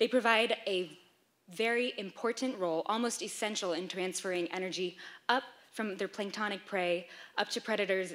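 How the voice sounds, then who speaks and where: The speech moves at a fairly quick pace. Its pitch varies in an ordinary way. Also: woman. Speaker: presenter. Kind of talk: lecture. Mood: lightly humorous. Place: hall.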